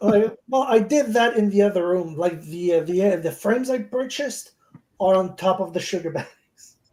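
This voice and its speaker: A woman with a French accent speaks at medium pitch and a moderate pace, with ordinary pitch variation. Her tone is dark and mellow. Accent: French accent, noticeable. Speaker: beekeeper. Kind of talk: casual chat. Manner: halting, repeats words.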